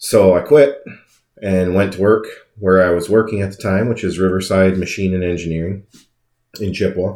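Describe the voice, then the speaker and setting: In a very clean recording with a silent background, a man with a very deep, low pitch speaks at a moderate pace with fairly even intonation, big swings in loudness, and long, frequent pauses. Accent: Upper Midwest. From Wisconsin. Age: 30s. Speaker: podcast host and car dealer. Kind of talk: casual monologue.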